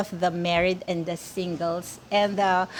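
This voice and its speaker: The speech of this woman comes at a fairly slow pace. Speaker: vlogger. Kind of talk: personal vlog monologue. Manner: slow and tentative; halting, many fillers.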